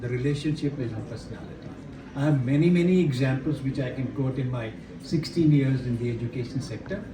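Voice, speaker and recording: A man speaks very fast at a medium pitch with ordinary pitch variation, over noticeable background noise and audible room echo. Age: 70s. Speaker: retired army general and education speaker. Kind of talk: workshop talk. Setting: hotel workshop with audience. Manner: interactive, questions to audience.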